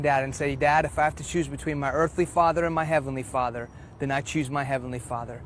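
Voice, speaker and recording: A man with a Texas accent, fairly even intonation and a fairly quick pace. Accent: American, Texas. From Houston, Texas (childhood partly in Iran). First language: Farsi. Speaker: preacher. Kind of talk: testimony.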